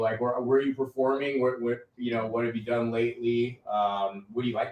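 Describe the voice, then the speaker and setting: Fairly quick speech comes from a man at a medium pitch. He has a plain, everyday voice. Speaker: podcast host. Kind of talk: casual interview chat.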